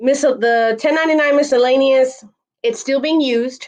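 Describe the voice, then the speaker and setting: A woman talks with a high pitch and ordinary pitch variation. Her pace is moderate, and the sound is dry and close with no echo. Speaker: tax preparation volunteer presenting to notaries. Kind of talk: online webinar presentation.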